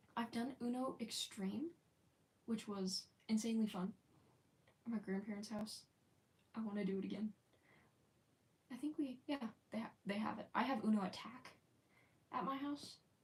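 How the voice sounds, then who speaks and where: A woman speaks at a moderate pace, her voice somewhat breathy. Long pauses come often. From United States. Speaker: live streamer. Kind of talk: casual chat. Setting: live stream.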